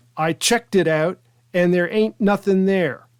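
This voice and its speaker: A put-on character voice growls at a middle pitch and a moderate pace. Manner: snarly, sarcastic, yelling.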